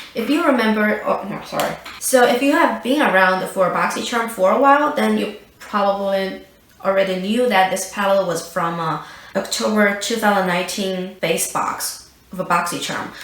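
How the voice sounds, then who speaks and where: A woman at a medium pitch speaks at a moderate pace with lively intonation, amid noticeable background noise and audible room echo. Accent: non-native. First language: not English. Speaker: beauty youtuber. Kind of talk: product review. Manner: hesitant with fillers.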